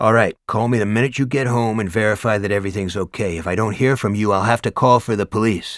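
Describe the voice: With fairly even intonation, the text comes across as plain reading aloud.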